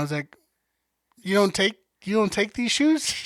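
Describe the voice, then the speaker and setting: A loud, high-pitched male voice with lively intonation, with a dry, close sound with no echo, in a very clean recording over a silent background. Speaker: podcast co-host. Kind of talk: casual chat.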